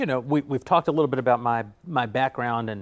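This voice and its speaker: A man with an American accent speaks at a fairly quick pace in an unremarkable speaking voice. His pitch is medium, with ordinary variation. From United States. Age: 40s. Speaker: media company executive. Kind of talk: interview. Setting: studio.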